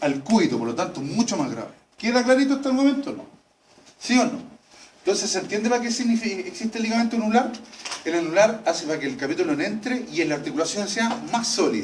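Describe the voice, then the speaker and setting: A man with a high voice speaks very fast in a Chilean accent, his pitch swinging very widely. The room echo is audible and background noise is noticeable. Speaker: veterinary anatomy lecturer. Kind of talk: lecture. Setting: classroom with students. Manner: animated.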